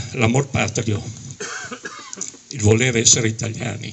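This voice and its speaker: Against noticeable background noise, a man speaks at a medium pitch and a moderate pace. His intonation is monotone and flat. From Dalmatia (Zadar), exiled to Italy as a child. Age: 70s. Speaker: exile and Alpini veterans' association official. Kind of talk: testimony speech at a commemoration. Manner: emotional.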